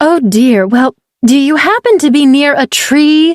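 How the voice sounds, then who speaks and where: A woman's high-pitched, put-on character voice at a moderate pace. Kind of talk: archaic formal speech. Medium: read story. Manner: smooth, calm, formal.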